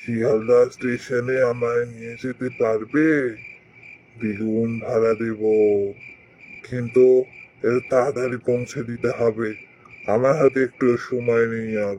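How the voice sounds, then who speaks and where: A man speaks in a cartoonish character voice at a fairly slow pace with monotone, flat intonation. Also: medium pitch for a man. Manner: hurried, pressing.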